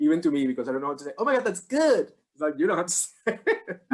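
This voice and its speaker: A man speaks at a very fast pace with a slight Irish accent. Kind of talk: casual chat. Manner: halting.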